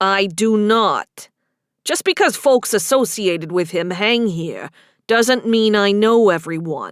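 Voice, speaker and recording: A woman's put-on character voice, gruff and medium-pitched, with lively intonation and a fairly slow pace, on a very clean recording with a silent background. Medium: read story. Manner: gruff, blunt.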